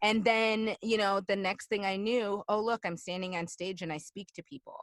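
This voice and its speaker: The speaker has a Chicago accent and an animated tone, with ordinary pitch variation. The sound is dry and close, without echo. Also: woman, medium pitch for a woman, moderate pace. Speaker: alumni guest, fitness instructor and motivational speaker. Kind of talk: casual interview. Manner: animated, many fillers.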